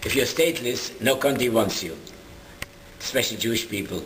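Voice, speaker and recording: A man speaks at a medium pitch and a fairly quick pace. Audible room echo and noticeable background noise are present. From Germany (Dessau, Leipzig). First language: German. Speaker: Holocaust survivor. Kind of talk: interview testimony. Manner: halting.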